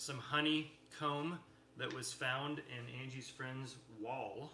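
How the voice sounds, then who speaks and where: A man with an American accent speaks at a very slow pace in a monotone, flat intonation. Audible room echo surrounds his voice. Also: medium pitch for a man. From Texas. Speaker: livestream co-host, musician's husband. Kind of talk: casual chat. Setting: livestream video at dinner table.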